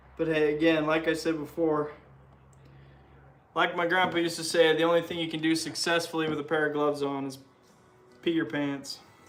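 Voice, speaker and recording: A man with an American accent, fairly high-pitched and monotone, at a fairly quick pace with long, frequent pauses, amid audible room echo and music in the background. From Utah. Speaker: livestreamer restoring a motorcycle. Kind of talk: casual livestream chat while working.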